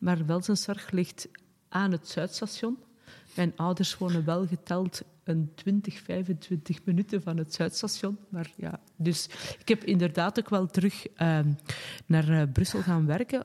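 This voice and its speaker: Speaking very slowly, a woman uses a fairly low pitch and a dark, mellow tone that is somewhat breathy, with ordinary pitch variation. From Flanders, Pajottenland (Sint-Martens-Lennik). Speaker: director of a women's organisation and local councillor. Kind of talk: casual interview.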